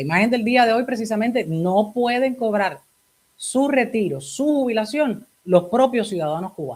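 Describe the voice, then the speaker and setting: With an ordinary speaking voice, a woman talks at a moderate pace, fairly high in pitch and lively in intonation. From Cuba. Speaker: talk show host. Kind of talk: interview.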